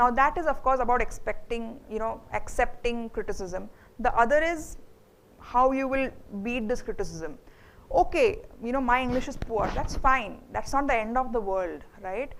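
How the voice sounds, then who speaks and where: A woman's high-pitched voice with an Indian accent, ordinary pitch variation and a moderate pace, plus audible room echo. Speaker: HR manager, guest speaker. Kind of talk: Q&A talk to students. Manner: hesitant, many fillers.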